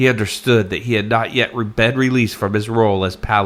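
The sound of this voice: An unforced reading voice, intonation fairly even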